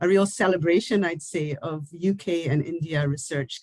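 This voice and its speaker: A somewhat breathy woman's voice with ordinary pitch variation, in a dry, close sound with no echo. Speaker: university research leader. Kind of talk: formal closing speech. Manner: formal.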